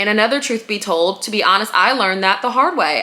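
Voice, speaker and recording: With noticeable background noise behind her, a woman talks at a fairly high pitch with ordinary pitch variation. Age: 30s. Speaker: lifestyle podcaster. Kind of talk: casual monologue. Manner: casual, filler-heavy.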